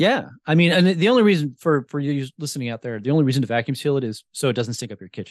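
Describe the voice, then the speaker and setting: A man with an American accent talks at a very fast pace, with lively intonation and big swings in loudness. The sound is dry and close with no echo, over a quiet background. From New Jersey. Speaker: podcast host and wild food cook. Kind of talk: casual interview chat.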